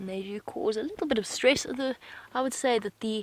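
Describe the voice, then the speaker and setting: A woman's voice at a fairly quick pace, with a dry sound and no echo. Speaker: presenter. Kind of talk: live wildlife commentary. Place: car.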